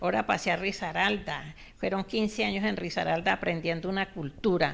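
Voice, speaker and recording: Speaking at a moderate pace, a woman with a medium pitch shows vocal fry. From Colombia. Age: 70s. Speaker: author. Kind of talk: interview.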